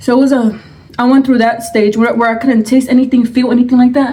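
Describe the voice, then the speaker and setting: Quiet and high-pitched, a woman speaks at a fairly quick pace over noticeable background noise. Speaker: mukbang vlogger. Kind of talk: storytime while eating. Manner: quiet, subdued; halting, searching for words.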